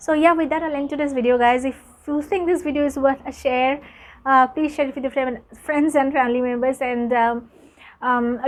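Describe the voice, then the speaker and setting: Delivery comes at a fairly quick pace. Intonation stays fairly even. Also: woman. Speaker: English teacher, YouTuber. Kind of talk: tutorial. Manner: fluent, continuous without pausing.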